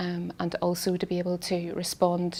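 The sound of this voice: A woman speaks at a fairly low pitch with a slightly mellow tone.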